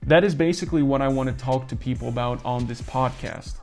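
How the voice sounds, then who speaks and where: Music plays in the background as a man with a fairly high pitch talks at a moderate pace with ordinary pitch variation. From Netherlands. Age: 20s. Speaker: entrepreneur, channel host. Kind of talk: vlog monologue. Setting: at home in his apartment.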